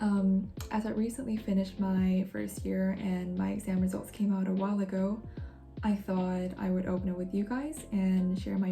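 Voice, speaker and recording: A woman speaks at a moderate pace with a medium pitch and ordinary pitch variation. Music plays in the background. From Korean-Norwegian. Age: 20s. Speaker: university student. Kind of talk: casual talk to camera.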